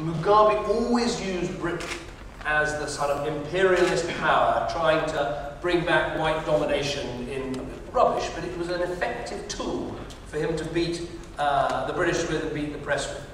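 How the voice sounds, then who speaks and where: A man with a high voice speaks at a moderate pace, with light background noise and strong room echo. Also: ordinary pitch variation. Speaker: politician at town hall. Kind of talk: answer to audience question. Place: hall.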